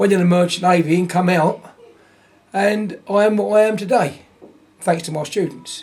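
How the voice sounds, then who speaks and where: A high-pitched man at a moderate pace, fairly even intonation and long, frequent pauses, with noticeable background noise. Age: 70s. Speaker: martial arts instructor. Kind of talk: interview. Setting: event venue. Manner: halting, many repetitions.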